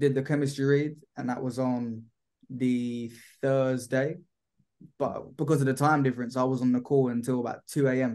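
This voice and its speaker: A man with a British accent and monotone, flat intonation, set against a quiet background. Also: moderate pace. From UK. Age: 20s. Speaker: actor. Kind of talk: casual interview. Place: home room. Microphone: video call.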